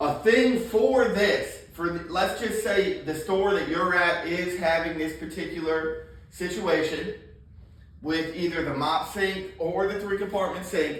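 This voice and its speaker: Someone speaks loudly at a fairly slow pace in a confident tone. There is audible room echo and noticeable background noise. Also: man, high pitch for a man, ordinary pitch variation. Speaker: plumbing trainer. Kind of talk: hands-on training talk. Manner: loud and confident.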